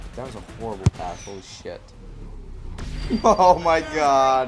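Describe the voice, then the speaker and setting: A man speaks at a fairly slow pace. Background music plays beneath him. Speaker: gaming youtuber. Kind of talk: casual gameplay commentary. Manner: casual, slangy.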